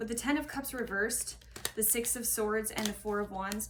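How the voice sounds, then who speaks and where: A woman speaks at a moderate pace with a fairly high pitch and fairly even intonation. Noticeable background noise and audible room echo surround her. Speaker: tarot reader. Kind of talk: tarot reading monologue. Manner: halting.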